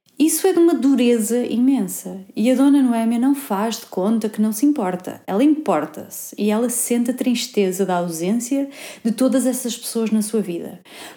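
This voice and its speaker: Noticeable background noise sits behind a woman with a fairly high pitch. She talks at a moderate pace with lively intonation and hardly any pauses. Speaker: podcast host. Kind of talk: interview; scripted narration.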